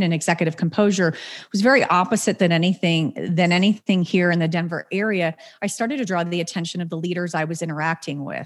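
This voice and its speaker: A woman with an unremarkable speaking voice talks at a fairly low pitch with ordinary pitch variation, on a very clean recording with a silent background. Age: 40s. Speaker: business owner of a placement and training firm. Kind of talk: podcast interview.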